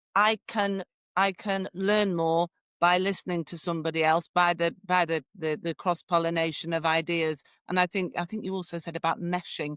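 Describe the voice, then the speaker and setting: Fairly low-pitched woman's voice with an English accent, monotone and flat, at a moderate pace, dry and close with no echo, on a very clean recording with a silent background. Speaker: podcast host. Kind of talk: casual interview chat.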